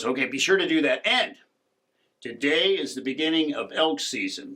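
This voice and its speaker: Putting on a raspy character voice, a man talks at a moderate pace with a fairly high pitch and lively intonation. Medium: read story. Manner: terse, cautionary.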